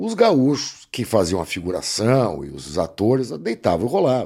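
A man's medium-pitched voice with vocal fry, on a very clean recording with a silent background. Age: 60s. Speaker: actor and announcer. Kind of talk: casual interview chat.

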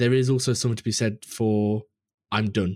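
Recorded very cleanly against a silent background, a man with a British accent speaks at a fairly quick pace and a medium pitch. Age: 20s. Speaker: game artist and podcaster. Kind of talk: casual chat.

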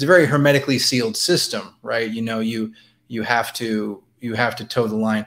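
Using an ordinary speaking voice, a man keeps a medium pitch and his intonation fairly even. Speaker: newspaper columnist. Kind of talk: interview discussion. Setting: video call.

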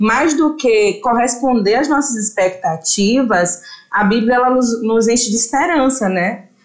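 An ordinary speaking voice from a woman, fairly high-pitched and fairly slow, with ordinary pitch variation and very even loudness. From interior of Bahia, Brazil. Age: 20s. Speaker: journalist and theology student. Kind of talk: casual podcast chat.

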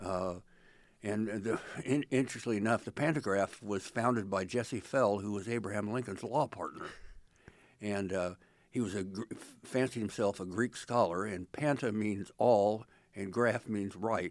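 A man with an ordinary speaking voice and an American accent, fairly low in pitch, with fairly even intonation and a moderate pace, on a very clean recording with a silent background. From central Illinois. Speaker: retired political reporter. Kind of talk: interview.

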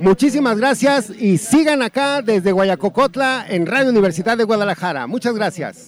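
A man with a high pitch speaks at a moderate pace with lively intonation. He takes hardly any pauses, and there is noticeable background noise. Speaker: radio host. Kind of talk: live radio broadcast.

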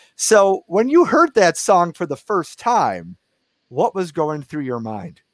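A man speaks in a high voice with an American accent, his pitch swinging very widely. He talks very slowly, and the sound is dry and close with no echo. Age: 20s. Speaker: podcast host. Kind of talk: interview. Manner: halting.

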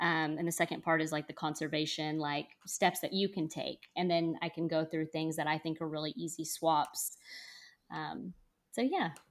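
The recording is very clean, with a silent background. A woman speaks at a moderate pace in a very deep, low pitch with fairly even intonation. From North Texas. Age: 30s. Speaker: scuba instructor and podcaster. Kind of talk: casual interview. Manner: hesitant with many fillers.

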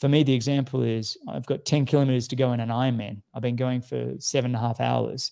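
In an Australian accent, a man speaks at a very fast pace with hardly any pauses. His medium-pitched voice has a dark, mellow tone and a monotone, flat intonation. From Australia (Sydney). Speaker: professional triathlete. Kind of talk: casual interview.

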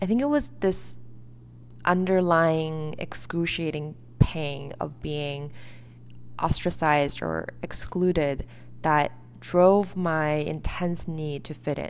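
In a Chinese accent, a woman speaks very slowly in a very deep, low voice with fairly even intonation and long, frequent pauses. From China, then US from age 11. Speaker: podcast host. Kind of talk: reflective solo monologue.

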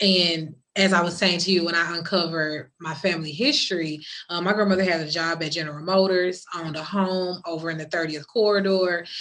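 Amid noticeable background noise and audible room echo, a woman talks fairly quickly in a fairly low voice with monotone, flat intonation. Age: 40s. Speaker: podcast host and domestic violence advocate. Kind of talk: casual interview. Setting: virtual online session.

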